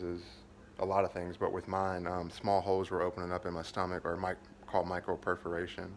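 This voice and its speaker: A man with an American accent and a very deep, low pitch. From Kentucky. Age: 30s. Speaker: vlogger fundraising for surgery. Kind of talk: personal video update, venting. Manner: flat, limited intonation due to pain; halting, many fillers and restarts.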